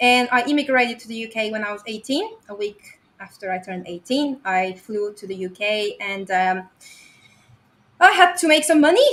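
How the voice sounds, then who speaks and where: A woman speaks with a strong Bulgarian accent at a fairly high pitch. Her pace is moderate and her intonation lively. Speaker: website investor. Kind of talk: podcast interview presentation.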